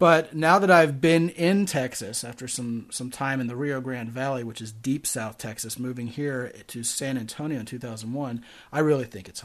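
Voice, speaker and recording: Using a normal speaking voice with an American accent, a man talks at a moderate pace with ordinary pitch variation and big swings in loudness. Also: medium pitch for a man, hardly any pauses, quiet background. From Maryland, Baltimore. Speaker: dating podcast host. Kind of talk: casual chat.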